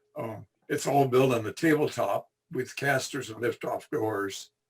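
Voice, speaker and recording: At a fairly slow pace, a man talks in a somewhat breathy voice with ordinary pitch variation. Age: 80s+. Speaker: retired electrical engineer, model railroad hobbyist. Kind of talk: presentation (virtual clinic). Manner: halting, many fillers and repetitions.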